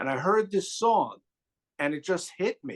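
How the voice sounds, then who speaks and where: A man in a New York accent speaks fairly slowly with ordinary pitch variation. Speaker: music YouTuber guest. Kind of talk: casual chat.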